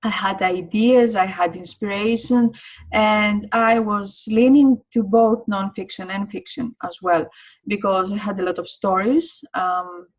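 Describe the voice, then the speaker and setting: A woman speaks in a somewhat breathy voice with a non-native accent. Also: medium pitch for a woman, ordinary pitch variation, fairly slow pace. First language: not English. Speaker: online course teacher. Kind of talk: online course lecture. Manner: hesitant, many fillers.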